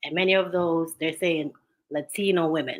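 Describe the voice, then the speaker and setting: A woman with a Jamaican accent, a very deep, low pitch, a bright, sharp tone, fairly even intonation and a moderate pace. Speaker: talk show co-host. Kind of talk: casual discussion.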